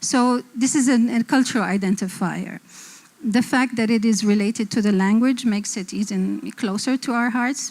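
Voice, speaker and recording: A woman with an Arabic accent, fairly high in pitch, with fairly even intonation at a moderate pace. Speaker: design publisher and panelist. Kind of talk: panel discussion.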